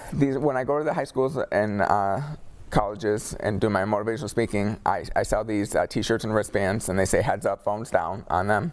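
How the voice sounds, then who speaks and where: A man talks at a fairly quick pace in a fairly low pitch. His loudness stays very even, with ordinary pitch variation. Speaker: motivational speaker, car crash survivor. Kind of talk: interview testimony. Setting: studio with live audience. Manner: halting, with word-finding difficulty.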